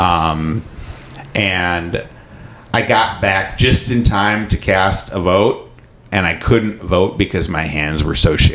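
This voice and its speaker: A man with a Midwestern American accent, very deep and low in pitch, at a very slow pace. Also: ordinary pitch variation. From Michigan, US Midwest. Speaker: podcast host and comedian. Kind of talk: casual chat.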